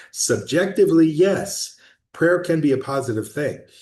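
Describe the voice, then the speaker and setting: The voice belongs to a man and is somewhat breathy. Behind him, all is quiet. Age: 60s. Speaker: project founder giving updates. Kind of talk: casual video update monologue. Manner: halting, with fillers and restarts.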